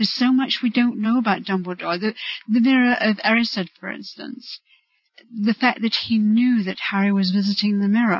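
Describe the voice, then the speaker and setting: The voice is somewhat breathy. It keeps a moderate pace and fairly even intonation. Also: woman, fairly high pitch for a woman. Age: 50s. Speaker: fan. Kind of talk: interview.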